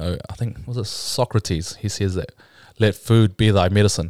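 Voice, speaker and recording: In a New Zealand accent, a man with a fairly low pitch comes through on a very clean recording with a silent background and a dry, close sound with no echo. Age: 20s. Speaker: bodybuilder. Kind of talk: casual interview.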